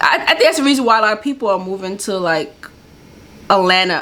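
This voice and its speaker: A woman talks at a mid-range pitch with normal variation while clear background noise is heard. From New York. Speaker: YouTube reaction video host. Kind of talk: casual reaction commentary.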